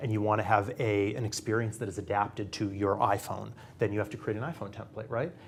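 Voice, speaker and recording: With a Boston accent, a man speaks in a fairly low, somewhat breathy voice. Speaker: industry research analyst. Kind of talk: panel discussion. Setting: studio.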